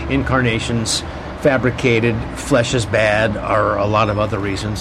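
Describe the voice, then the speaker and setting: A man speaks over noticeable background noise. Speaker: pastor and radio host. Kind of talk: casual chat. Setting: outdoors.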